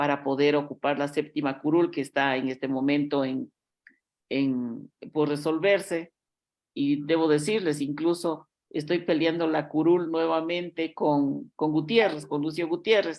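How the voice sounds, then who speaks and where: Speaking at a fairly slow pace, a woman has a very deep, low pitch and fairly even intonation. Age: 60s. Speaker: politician. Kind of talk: interview.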